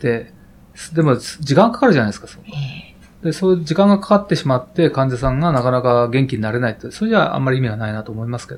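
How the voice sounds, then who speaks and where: A man talks at a very fast pace in a somewhat breathy voice. His loudness swings widely. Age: 50s. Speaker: heart surgeon. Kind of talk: interview. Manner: hesitant, many fillers.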